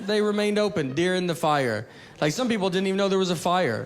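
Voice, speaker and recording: With crowd noise in the background, a man in a Tennessee accent talks at a moderate pace. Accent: Southern US, Tennessee. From Tennessee, USA. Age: 30s. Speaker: stand-up comedian. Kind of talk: stand-up comedy routine.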